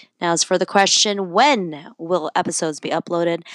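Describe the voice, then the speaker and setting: With a slight Filipino accent, a woman speaks in an animated, cheerful tone, the sound dry and close with no echo on a very clean recording with a silent background. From Philippines. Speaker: podcast host. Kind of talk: solo podcast intro.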